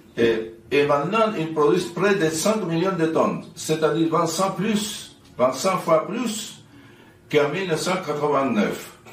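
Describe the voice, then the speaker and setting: A man's very slow speech, fairly high in pitch, with ordinary pitch variation and audible room echo. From Chile. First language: Spanish (speaking French). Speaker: activist and NGO president. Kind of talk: commemorative speech. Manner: halting.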